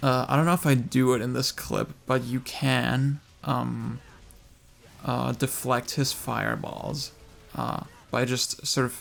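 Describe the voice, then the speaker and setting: Mumbling at a very slow pace, a man leaves long, frequent pauses. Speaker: gaming video creator. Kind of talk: casual talk to camera. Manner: mumbly, hesitant.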